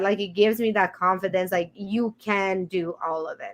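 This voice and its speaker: Heard against a quiet background, this voice belongs to a woman. She speaks with a Romanian accent. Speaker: podcast host, business CEO. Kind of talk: casual interview chat.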